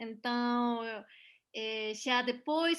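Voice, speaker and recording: Over a quiet background, a voice with a Mexican accent and a bright, sharp tone speaks at a very slow pace. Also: woman. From Mexico, Puebla. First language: Spanish (speaking Portuguese). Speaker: voice actress and dubbing director. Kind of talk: interview. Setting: video call. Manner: halting.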